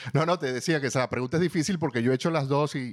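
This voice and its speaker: This recording is very clean, with a silent background. A man does the talking. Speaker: podcast host. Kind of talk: casual interview questions.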